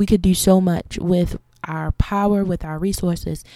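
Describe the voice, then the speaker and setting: The voice has an American accent and a dark, mellow tone, recorded very clean with a silent background and a dry, close sound with no echo. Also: woman. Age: 20s. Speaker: podcast host and content creator. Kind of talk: solo monologue rant.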